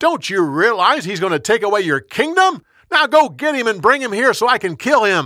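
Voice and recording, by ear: A man puts on a character voice, high-pitched with big pitch swings and a bright, sharp tone, going at a moderate pace in a very clean recording with a silent background.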